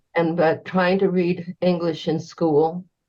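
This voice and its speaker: A fairly slow pace from a woman with a fairly low pitch. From northern New Mexico, later Cheyenne, Wyoming. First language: Spanish. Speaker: retired state government assistant and community organizer. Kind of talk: interview. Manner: hesitant, with filler sounds.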